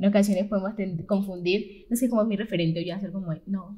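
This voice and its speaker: A woman talks in a somewhat breathy voice pitched in the medium range. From Colombia. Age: young. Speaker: youth leader. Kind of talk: panel discussion. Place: studio.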